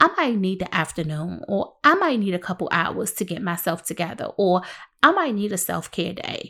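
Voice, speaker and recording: An animated tone at a moderate pace, in a very clean recording with a silent background. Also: woman, medium pitch for a woman, lively intonation. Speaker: podcast host and helping-professions consultant. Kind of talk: solo podcast talk. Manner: loud.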